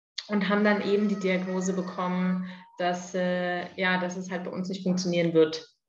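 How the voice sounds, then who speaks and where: Amid audible room echo, a woman speaks with fairly even intonation. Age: 30s. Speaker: adoptive mother, clinical research worker. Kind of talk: interview, personal story.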